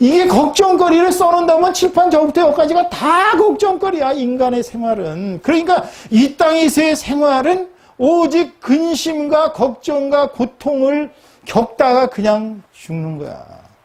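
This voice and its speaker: At a fairly slow pace, a man with an extremely high pitch talks in an animated tone with lively intonation. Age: 60s. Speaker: pastor. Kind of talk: sermon.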